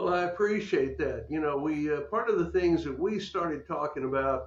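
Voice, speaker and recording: A man with an American accent. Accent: occasional Texas. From Texas. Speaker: podcast host. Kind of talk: interview.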